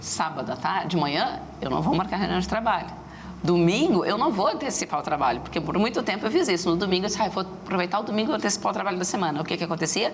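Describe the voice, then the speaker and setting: Over noticeable background noise and audible room echo, a woman talks at a very fast pace with a medium pitch and lively intonation. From Rio Grande do Sul, Brazil (Rio Grande). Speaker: entrepreneur, startup association executive. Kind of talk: TV interview.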